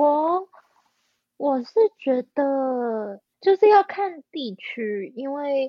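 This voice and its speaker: Speaking at a very slow pace, a woman uses a high pitch with very wide pitch swings and big swings in loudness. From Taiwan (New Taipei). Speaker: orchestral violist. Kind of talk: casual interview.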